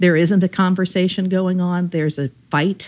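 A woman with a normal speaking voice, fairly low in pitch, at a moderate pace with fairly even intonation, on a very clean recording with a silent background. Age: 50s. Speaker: member of an Enneagram association's regional chapter. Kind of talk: casual chat. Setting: call with the hosts.

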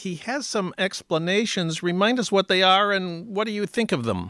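Bright, sharp tone from a man with an American accent at a moderate pace, on a very clean recording with a silent background. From US Midwest, St. Paul, Minnesota. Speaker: radio host. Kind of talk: radio interview. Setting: radio studio.

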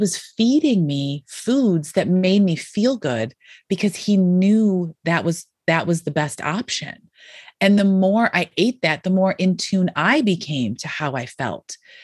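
In an American accent, a woman speaks at a fairly slow pace, her medium-pitched voice somewhat breathy, with lively intonation. The background is quiet, and the sound is dry and close, with no echo. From Western New York. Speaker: plant-based lifestyle coach and cookbook author. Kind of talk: interview conversation.

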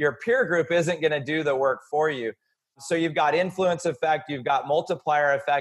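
A man talks in an ordinary speaking voice at a fairly high pitch. His pace is moderate, with ordinary pitch variation. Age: 40s. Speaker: entrepreneur and author. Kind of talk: podcast interview.

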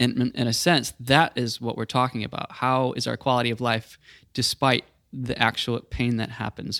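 A man with an American accent at a medium pitch and moderate pace, flat and monotone, on a very clean recording with a silent background and a dry, close sound with no echo. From US South. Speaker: podcast host. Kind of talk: casual chat.

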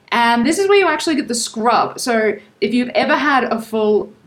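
Noticeable background noise and a woman's moderate-paced speech. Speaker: travel podcast co-host. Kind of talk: casual chat. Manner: lively, laughing.

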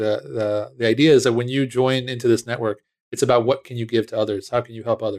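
In an American accent, the speaker talks at a fairly quick pace with fairly even intonation, the sound dry and close with no echo. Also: man. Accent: barely any. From US, outside Washington, D.C. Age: 40s. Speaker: tech entrepreneur. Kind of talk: interview.

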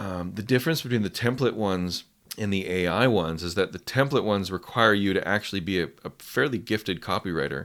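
At a very fast pace, a man talks in a fairly low pitch on a very clean recording with a silent background. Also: ordinary pitch variation. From west coast of Canada. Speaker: copywriting coach. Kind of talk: casual interview. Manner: conversational, hesitant with fillers.

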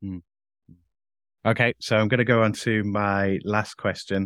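Speaking with a Yorkshire accent, a man has a fairly low pitch, heard in a very clean recording with a silent background and a dry, close sound with no echo. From Leeds, England. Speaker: podcast host. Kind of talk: interview.

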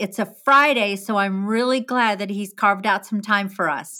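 A woman speaks with an American accent at a fairly slow pace. Her tone is bright and sharp, and her pitch is fairly high. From New Jersey (Jersey Shore). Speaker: podcast host, photographer. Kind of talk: casual interview; scripted promo.

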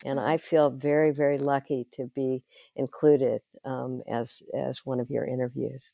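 A woman with an American accent talks at a moderate pace in a very deep, low pitch. Her intonation is flat and monotone against a quiet background. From Texas. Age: 70s. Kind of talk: interview conversation.

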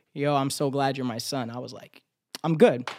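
With an American accent, a man speaks fairly quickly at a fairly high pitch. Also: very clean recording, silent background. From South Florida. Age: 20s. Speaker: rapper and actor. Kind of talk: casual chat. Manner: animated.

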